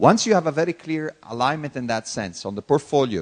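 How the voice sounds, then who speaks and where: A man speaks at a moderate pace with an Italian accent and very wide pitch swings. The sound is dry and close, with no echo. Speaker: corporate executive. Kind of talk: conference Q&A.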